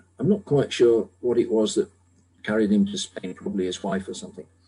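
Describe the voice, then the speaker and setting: A man's somewhat breathy voice carries a dark, mellow tone and very wide pitch swings. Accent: British. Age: 70s. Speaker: medical technology developer. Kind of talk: radio interview.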